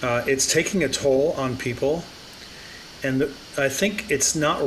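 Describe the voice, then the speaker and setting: Fairly high pitch for a man, ordinary pitch variation and a fairly slow pace, with noticeable background noise. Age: 60s. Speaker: AI business consultant. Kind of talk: interview conversation.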